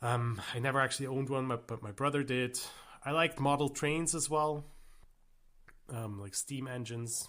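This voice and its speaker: A man at medium pitch and moderate pace, fairly even in intonation, with long, frequent pauses, on a very clean recording with a silent background. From German-speaking Switzerland. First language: Swiss German. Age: 30s. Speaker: gaming YouTuber. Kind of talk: casual vlog monologue. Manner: halting, with many fillers.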